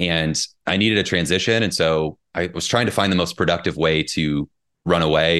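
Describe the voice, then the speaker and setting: A man speaks with a Midwestern American accent at a very deep, low pitch. His intonation stays fairly even against a quiet background. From US Midwest, southern Indiana. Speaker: personal trainer and author. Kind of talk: casual interview.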